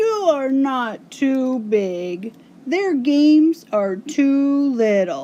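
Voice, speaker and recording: Someone does a put-on character voice at a very slow pace, the pitch swinging very widely. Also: woman, high pitch for a woman. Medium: read story.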